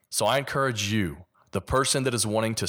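A man speaks with a Kentucky accent. His pace is moderate. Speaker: podcast host. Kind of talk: solo podcast monologue.

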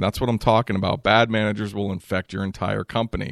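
At a fairly quick pace, a man with an unremarkable speaking voice talks at a fairly low pitch. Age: 40s. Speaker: podcast host, EMS manager. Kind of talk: solo podcast monologue. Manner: casual with frequent fillers.

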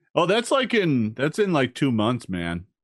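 A man in a put-on character voice, drawling at a moderate pace with a medium pitch, very wide pitch swings and a relaxed tone, over a quiet background. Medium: actual play. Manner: relaxed, drawling, says "like" and "man" constantly.

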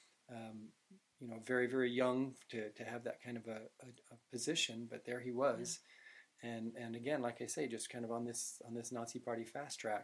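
Speaking at a fairly quick pace, a man with an American accent uses a medium pitch and monotone, flat intonation. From Utah. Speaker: film director and screenwriter. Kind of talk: interview.

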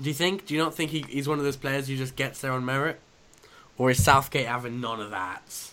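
This man's voice sits at medium pitch and has a bright, sharp tone. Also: ordinary pitch variation, fairly quick pace. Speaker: podcast host. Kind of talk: casual chat. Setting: remote call recording.

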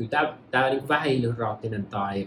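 Somewhat breathy, this man's voice shows ordinary pitch variation. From Finland, Pirkanmaa near Tampere. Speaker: medicinal mushroom entrepreneur. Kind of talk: casual interview. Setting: at the host's home in Los Angeles.

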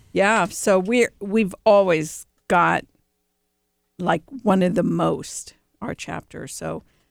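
A woman with an American accent, medium pitch and vocal fry, at a very slow pace with long, frequent pauses and ordinary pitch variation. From Cleveland, Ohio. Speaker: executive director of a remodelers' trade association. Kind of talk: casual chat. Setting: studio.

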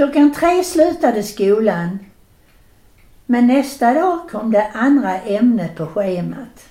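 A woman's dark, mellow voice at a very slow pace, with very wide pitch swings. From southern Sweden (Skåne, Landskrona). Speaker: grandmother telling childhood memories. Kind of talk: storytelling. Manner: animated.

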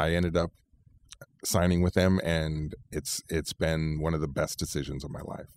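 In a Californian accent, a man with a very deep, low pitch speaks with fairly even intonation in a dry, close, echo-free and very clean recording with a silent background. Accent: Californian American. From California, Central Valley. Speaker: lawyer. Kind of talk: interview.

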